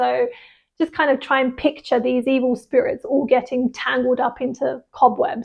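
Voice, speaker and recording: A woman speaks in a British RP accent. Her pitch is high and her pace is moderate. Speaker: English teacher. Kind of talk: English vocabulary lesson. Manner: casual, conversational.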